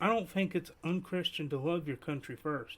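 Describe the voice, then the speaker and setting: A man with an Appalachian accent, talking at a moderate pace. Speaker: podcast host. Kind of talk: casual commentary. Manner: soft-spoken.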